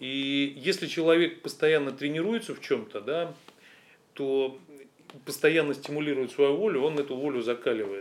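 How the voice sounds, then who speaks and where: Talking at a moderate pace with long, frequent pauses, a man uses a fairly high pitch and ordinary pitch variation. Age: 40s. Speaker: fitness business owner. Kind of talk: interview.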